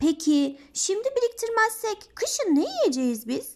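Putting on a squeaky character voice, a woman speaks at a fairly slow pace in an extremely high pitch with very wide pitch swings. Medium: read story. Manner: earnest, patient.

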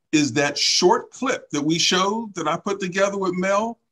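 A raised, projected voice, bright and sharp in tone, at a moderate pace over a quiet background. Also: man. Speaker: talk show facilitator. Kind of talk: panel discussion. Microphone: studio mic.

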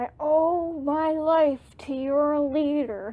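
A woman puts on a gruff character voice, pitched high. She speaks at a very slow pace. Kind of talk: reading game text aloud with commentary.

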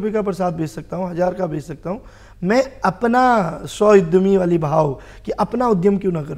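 A man's high voice carries lively intonation at a moderate speed, with quiet surroundings behind him. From Kumaon, Uttarakhand (Bageshwar, then Haldwani); Uttarakhand. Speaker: social worker and advocate; talk show guest. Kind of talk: TV talk show interview. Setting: TV studio. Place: studio. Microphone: lapel.

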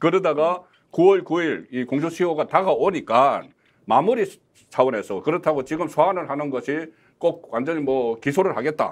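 Over a quiet background, a man with an ordinary speaking voice talks at a fairly quick pace with a fairly high pitch and lively intonation. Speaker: political commentator. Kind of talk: political panel discussion. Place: studio. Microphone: lapel.

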